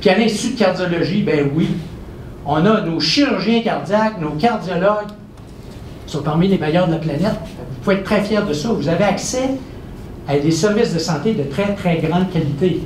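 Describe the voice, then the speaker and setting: Through noticeable background noise and audible room echo, a man with a high pitch speaks at a moderate pace with ordinary pitch variation and long, frequent pauses. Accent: Quebec. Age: 60s. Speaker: professor and researcher. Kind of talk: public lecture. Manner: animated.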